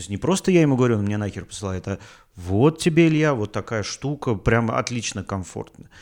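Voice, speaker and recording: A man's medium-pitched voice at a fairly quick pace, with very wide pitch swings and big swings in loudness, on a very clean recording with a silent background. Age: 40s. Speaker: podcaster. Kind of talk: casual monologue. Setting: home, rented apartment. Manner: halting.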